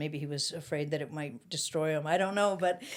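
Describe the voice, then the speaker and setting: A woman with a Canadian accent speaks at a fairly quick pace, her very deep, low pitch carrying fairly even intonation. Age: 60s. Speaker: former political youth activist. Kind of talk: casual chat. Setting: studio.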